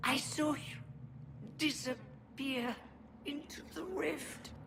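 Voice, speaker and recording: Over clear background noise, a woman puts on a high-pitched character voice and speaks very slowly. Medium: video game. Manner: urgent, strained.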